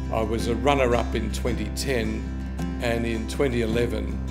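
Music plays clearly in the background. The speech moves at a fairly slow pace. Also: man. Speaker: photographer. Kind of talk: interview answer. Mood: proud, warm. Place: office.

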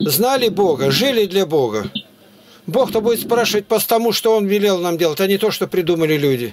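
Noticeable background noise sits behind a man speaking at a fairly quick pace. His voice is high-pitched with lively intonation. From Siberia, Russia (Altai Krai, Barnaul); Altai Krai, Russia. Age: 80s+. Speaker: street preacher. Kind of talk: street preaching and conversation with strangers. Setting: chat roulette video call. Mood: earnest, preaching. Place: home room. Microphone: webcam.

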